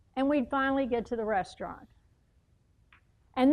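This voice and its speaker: In a Texas accent, a woman talks at a high pitch with lively intonation. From US, moved coast-to-coast. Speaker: motivational speaker. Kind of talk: public speech.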